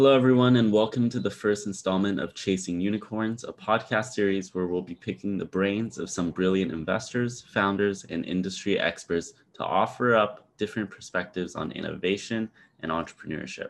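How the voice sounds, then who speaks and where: An ordinary speaking voice from a man, fairly low in pitch with ordinary pitch variation, fairly quick with hardly any pauses, over a quiet background. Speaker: podcast host and startup cofounder. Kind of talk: podcast intro and interview questions.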